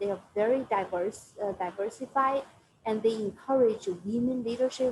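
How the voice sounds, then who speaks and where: A woman with a Chinese accent speaks at a fairly high pitch with fairly even intonation. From China. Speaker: finance professional. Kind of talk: Q&A with students. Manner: halting.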